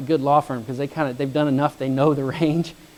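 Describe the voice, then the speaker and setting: A man's voice with a dark, mellow tone. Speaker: real estate fund executive. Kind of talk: lecture. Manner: fast.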